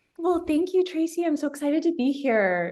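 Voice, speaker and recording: Her tone dark and mellow, a woman with an American accent speaks with very wide pitch swings. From US, Seattle. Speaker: pattern maker, business owner. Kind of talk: casual interview. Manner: hesitant, many fillers.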